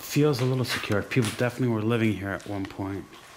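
Background noise can clearly be heard. The speech moves at a medium tempo. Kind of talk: casual vlog commentary. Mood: excited, slightly wary. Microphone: phone near.

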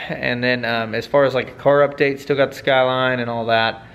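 A man is talking. His intonation stays fairly even. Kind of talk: casual vlog chat. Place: workshop.

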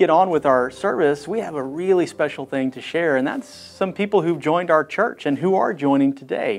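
Over faint background music, a man speaks at a moderate pace with ordinary pitch variation and hardly any pauses. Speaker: pastor. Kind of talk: church announcements to online congregation. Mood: warm, welcoming. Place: studio. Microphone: lapel.

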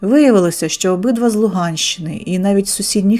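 This is someone reading aloud in a natural voice. The pitch varies in an ordinary way.

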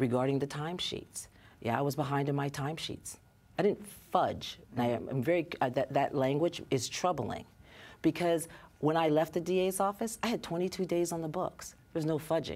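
Her pitch very deep and low, a woman talks at a moderate pace with ordinary pitch variation. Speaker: guest. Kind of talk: interview answer. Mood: earnest, somewhat defensive. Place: studio.

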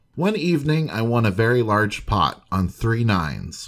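Lively intonation shapes a man's dramatic tone. He keeps a moderate pace. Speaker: history video narrator. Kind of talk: scripted narration of old newspaper stories, western true-crime storytelling. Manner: measured, formal, storyteller's pacing; steady, dramatic, informative.

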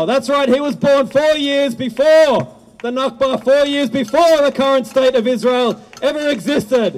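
Music plays in the background. The speech is at a moderate pace with fairly even intonation. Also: man. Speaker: rally host. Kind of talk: rally speech introduction. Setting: outdoors. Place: stage. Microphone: handheld.

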